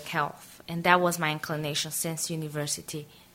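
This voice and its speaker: A woman at a moderate pace with a Portuguese accent. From Brazil, Aracaju (northeast). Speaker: interviewee, NGO worker. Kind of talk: biographical interview. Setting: radio interview.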